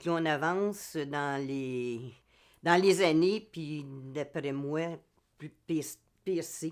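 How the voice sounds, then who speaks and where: Speaking with a Quebec accent at a very slow pace, a woman uses ordinary pitch variation on a very clean recording with a silent background. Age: 70s. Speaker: amateur theatre actor. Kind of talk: interview testimony. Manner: halting, many hesitations.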